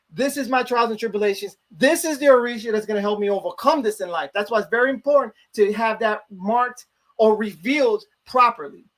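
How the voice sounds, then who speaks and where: A man with a high voice speaks in a Chicago accent. His pace is fairly quick and his pitch varies in an ordinary way. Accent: Chicago American English. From US Midwest, Chicago. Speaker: religious priest. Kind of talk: interview, religious explanation. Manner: fast.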